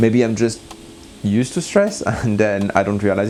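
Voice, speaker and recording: A man's pace is moderate. Background noise is noticeable throughout. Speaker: scuba diver and gear reviewer. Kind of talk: product review vlog. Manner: halting.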